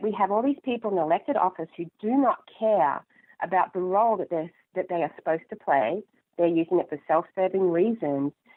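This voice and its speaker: The woman's delivery moves at a moderate pace. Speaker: political candidate. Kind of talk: interview.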